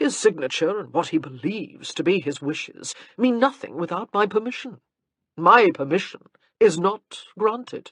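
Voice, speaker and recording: Drawling at a moderate pace, the speaker uses a put-on character voice at a middle pitch. The voice is raised and projected. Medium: read story. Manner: bored, drawling, unhurried.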